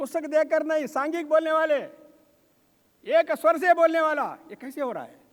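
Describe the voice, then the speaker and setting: An extremely high-pitched male voice. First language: Telugu (speaking Hindi). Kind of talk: ceremonial speech.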